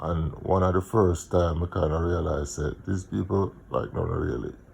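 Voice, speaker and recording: A man with a Jamaican accent speaks with a very deep, low pitch and vocal fry. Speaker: vlogger, music promoter. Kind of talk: casual monologue, personal storytelling. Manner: halting, many fillers.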